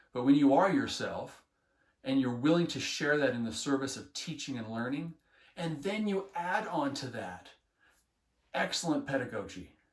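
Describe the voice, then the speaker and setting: A man at a fairly high pitch, enthusiastic in tone, with ordinary pitch variation, a moderate pace and audible room echo. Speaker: health education teacher trainer. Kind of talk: instructional talk. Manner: earnest, enthusiastic.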